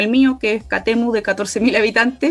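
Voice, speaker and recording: A woman has a plain, everyday voice with a fairly high pitch. She speaks at a moderate pace with ordinary pitch variation. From Chile, Aconcagua Valley. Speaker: constitutional convention candidate, environmental activist. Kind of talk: political interview.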